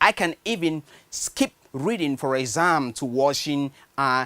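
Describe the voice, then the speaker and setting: A man speaks with a Nigerian accent at a fairly high pitch. The sound is dry and close, with no echo. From Nigeria, Benue State. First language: Nigerian language (not English). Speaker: screenwriter. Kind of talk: personal story narration.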